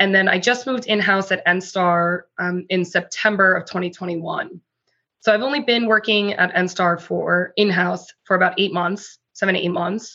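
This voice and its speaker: An unremarkable speaking voice with fairly even intonation at a moderate pace, against a quiet background. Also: woman, medium pitch for a woman. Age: 30s. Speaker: corporate lawyer. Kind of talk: interview.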